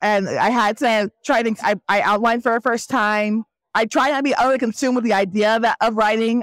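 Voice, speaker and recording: The recording is very clean, with a silent background and a dry, close sound with no echo. A woman speaks in a plain, everyday voice, fairly high in pitch with fairly even intonation. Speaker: novelist. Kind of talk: casual interview. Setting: book festival floor.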